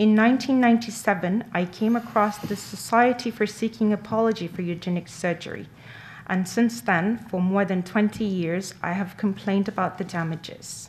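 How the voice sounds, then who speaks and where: A somewhat breathy woman speaks at a fairly slow pace. Her medium pitch follows fairly even intonation. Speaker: interpreter. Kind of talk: consecutive interpretation of a statement.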